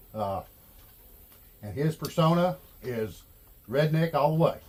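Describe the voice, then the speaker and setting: A man's fairly high, somewhat breathy voice carries ordinary pitch variation. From Arkansas. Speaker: YouTuber, handyman and small engine repair. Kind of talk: casual video monologue. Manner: relaxed, halting with fillers.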